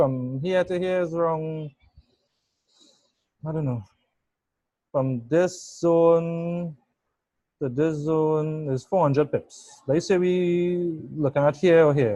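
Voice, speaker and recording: A man with a dark, mellow tone talks at a very slow pace, leaving long, frequent pauses, his intonation fairly even. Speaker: forex trading analyst. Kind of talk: trading chart tutorial. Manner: halting, repeats words.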